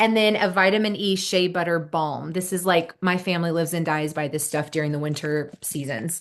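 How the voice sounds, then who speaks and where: The background is quiet. A woman talks with a Midwestern American accent. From Indiana (Marion). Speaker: skincare consultant. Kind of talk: product demo with clients. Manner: fast.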